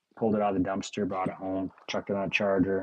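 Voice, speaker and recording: The man's voice sits at a fairly low pitch. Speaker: coin roll hunting livestreamer. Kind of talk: live stream commentary. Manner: casual, chatty; fast.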